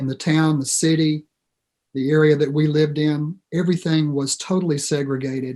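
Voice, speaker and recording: A man with an American accent speaks at a fairly slow pace. His fairly high voice stays monotone and flat. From US South, Alabama. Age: 60s. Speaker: professor. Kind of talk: personal testimony in discussion.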